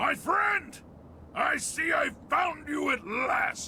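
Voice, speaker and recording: A man's raspy, shouted, put-on character voice at a very slow pace over clear background noise. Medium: machinima. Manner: formal, courteous.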